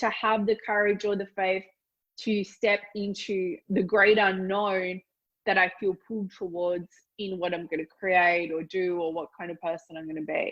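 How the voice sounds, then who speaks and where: A woman speaks with an Australian accent at a moderate pace. Her intonation stays fairly even. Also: medium pitch for a woman. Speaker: business mentor. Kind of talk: interview answer.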